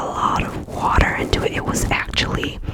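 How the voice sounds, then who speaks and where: Whispered speech at a fairly slow pace, with a relaxed tone. Background noise is noticeable. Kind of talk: ASMR ramble, personal story told to camera. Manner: soft-spoken, relaxed, chatty.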